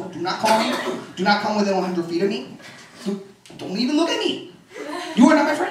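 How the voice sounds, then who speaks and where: Shouting at a fairly quick pace, a man uses a high pitch with very wide swings and an animated tone, broken by long, frequent pauses, amid noticeable background noise and audible room echo. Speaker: comedian. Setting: stage with audience. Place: home room. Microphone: handheld.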